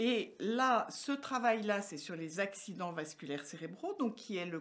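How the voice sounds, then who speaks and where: A woman's medium-pitched voice at a fairly slow pace with very wide pitch swings. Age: 60s. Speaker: medical researcher. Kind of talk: interview. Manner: hesitant, many fillers.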